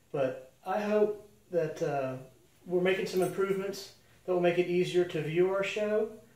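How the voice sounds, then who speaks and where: Amid noticeable background noise and audible room echo, a man speaks at a moderate pace in a high pitch. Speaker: animal rescue show host. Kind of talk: casual monologue to camera. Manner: halting, many fillers.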